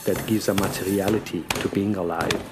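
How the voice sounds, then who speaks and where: Speaking at a fairly slow pace, a man uses a fairly low pitch and fairly even intonation. Noticeable background noise runs behind him. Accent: non-native. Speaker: podcast host. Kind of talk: personal storytelling.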